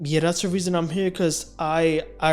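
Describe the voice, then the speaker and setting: Music plays in the background. Over it, a man speaks with monotone, flat intonation. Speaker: stuttering awareness vlogger. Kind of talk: personal talk to camera.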